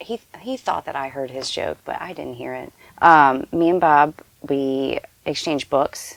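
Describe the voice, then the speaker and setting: Speaking at a fairly slow pace, the voice sounds dry and close with no echo, its loudness swinging widely. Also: woman. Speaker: caretaker and freelance illustrator. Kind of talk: interview. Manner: halting, many fillers.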